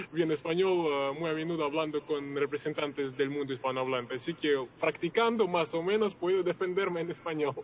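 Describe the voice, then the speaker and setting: Against noticeable background noise, a man with a fairly high pitch talks at a fairly quick pace. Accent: Russian. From Russia, Moscow. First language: Russian (speaking Spanish). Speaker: journalist and producer. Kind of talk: interview. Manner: hesitant, many fillers.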